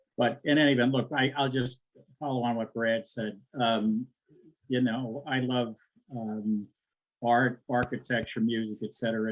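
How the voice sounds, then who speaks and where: At a moderate pace and medium pitch, a man talks with fairly even intonation in a normal speaking voice. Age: 60s. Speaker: civic activist. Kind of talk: closing remarks at online forum.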